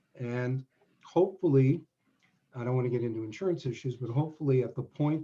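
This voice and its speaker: A man's somewhat breathy voice, medium in pitch with a dark, mellow tone, ordinary pitch variation and a fairly quick pace. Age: 70s. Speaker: semi-retired business lawyer. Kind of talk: webinar interview.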